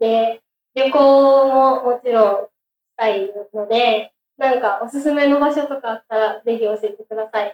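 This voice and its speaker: Using an unremarkable speaking voice, a woman talks at a fairly slow pace with a fairly high pitch and fairly even intonation. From Japan, Aichi prefecture. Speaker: exchange student. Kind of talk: self-introduction talk.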